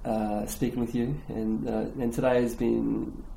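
A man with an Australian accent speaks at a moderate pace. The recording carries audible room echo and noticeable background noise. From Australia, Gold Coast, Queensland. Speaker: language podcast guest. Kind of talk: casual chat.

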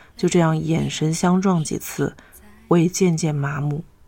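Over noticeable background noise, a woman with a fairly low pitch speaks with ordinary pitch variation. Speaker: podcast host reading stories. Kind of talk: reading aloud a short story.

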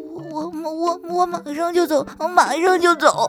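This put-on character voice is extremely high-pitched and shaky, delivered at a moderate pace. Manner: trembling, stammering.

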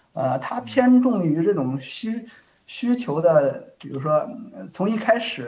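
A man speaks with lively intonation. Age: 30s. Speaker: software tester. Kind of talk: casual interview.

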